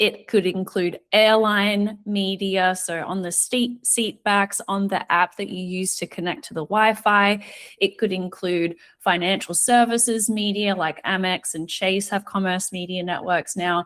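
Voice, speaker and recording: A woman of medium pitch with an Australian accent, at a fairly slow pace with fairly even intonation, on a very clean recording with a silent background. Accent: Australian, similar to New Zealand. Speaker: retail media analyst. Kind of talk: podcast interview.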